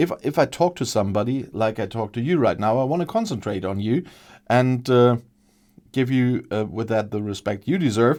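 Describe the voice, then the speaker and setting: A man with a German accent on a very clean recording, silent in the background. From Germany. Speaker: gaming video creator. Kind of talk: let's play commentary. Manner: halting, many fillers.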